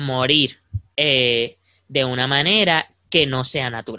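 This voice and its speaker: Dry and close with no echo, a man's voice comes across with a bright, sharp tone. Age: young. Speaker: podcast co-host. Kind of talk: casual chat.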